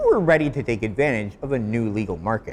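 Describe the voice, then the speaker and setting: A man speaks in a plain, everyday voice. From Canada. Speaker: commentary video host. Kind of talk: scripted commentary to camera.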